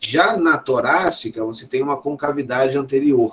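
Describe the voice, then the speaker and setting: A man's fairly high, plain, everyday voice, fairly even in intonation and at a fairly slow pace. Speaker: professor. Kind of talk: lecture.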